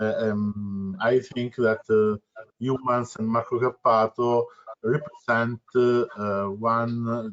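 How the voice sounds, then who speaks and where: A man with a non-native accent, medium-pitched, speaking at a very slow pace with fairly even intonation. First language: Italian. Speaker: volunteer activist and web developer. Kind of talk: self-introduction in meeting. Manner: halting.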